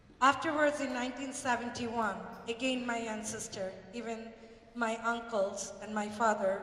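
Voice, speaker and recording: A woman's high-pitched voice with a Bengali accent, fairly slow and fairly even in intonation, amid noticeable background noise and audible room echo. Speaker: community speaker. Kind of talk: public speech.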